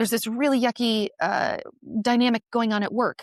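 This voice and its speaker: A woman with an ordinary speaking voice and a fairly high pitch, recorded very cleanly against a silent background, with a dry, close sound and no echo. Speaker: nurse. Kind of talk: podcast interview.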